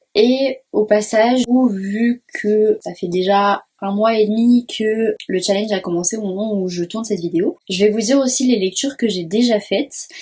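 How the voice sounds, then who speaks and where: This woman's voice is fairly high, somewhat breathy and dark and mellow in tone. She talks at a fairly slow pace with hardly any pauses. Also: ordinary pitch variation. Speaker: book YouTuber. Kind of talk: casual talk to camera.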